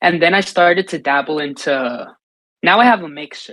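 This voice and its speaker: A man's fairly high, bright, sharp voice with a Spanish accent at a moderate pace. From US, New York City (Dominican family). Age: 20s. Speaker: singer-songwriter and live streamer. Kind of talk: interview answers. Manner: casual, repetitive self-restarts.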